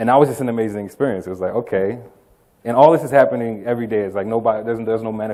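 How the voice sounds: Someone reads in a natural voice, the pitch varying in an ordinary way.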